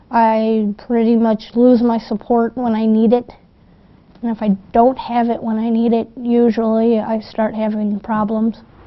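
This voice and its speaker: A woman's fairly high, monotone voice with flat intonation at a fairly slow pace. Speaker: street newspaper vendor. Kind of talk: documentary interview.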